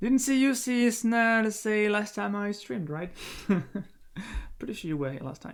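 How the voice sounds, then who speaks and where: Speaking at a fairly slow pace, a man with a French accent uses lively intonation. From France. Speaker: game streamer and commentator. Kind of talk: live stream commentary. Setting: at home, live stream. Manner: halting, many fillers.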